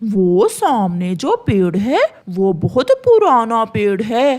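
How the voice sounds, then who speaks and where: The voice is a cartoonish character voice. It moves at a very slow pace. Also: female-sounding voice, fairly high pitch for a woman. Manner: sly, dismissive.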